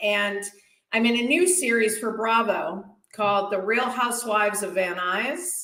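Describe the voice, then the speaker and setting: A woman with a Boston accent speaks at a fairly slow pace and fairly high pitch. Audible room echo surrounds her voice. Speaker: stand-up comedian. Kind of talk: stand-up.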